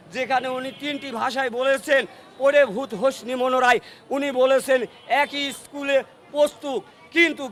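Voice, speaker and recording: Against noticeable background noise, a man speaks in an extremely high pitch. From Bangladesh, Kushtia. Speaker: local resident interviewed by news channel. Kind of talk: impromptu patriotic speech. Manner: oratorical.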